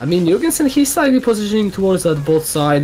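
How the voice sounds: The man's intonation is lively as he speaks. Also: slightly mellow tone.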